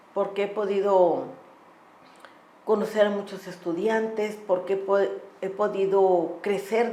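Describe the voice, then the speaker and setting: The delivery is monotone with flat intonation, heard over audible room echo and noticeable background noise. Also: woman. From Tamaulipas, northeastern Mexico. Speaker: law professor and human rights lawyer. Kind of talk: podcast interview.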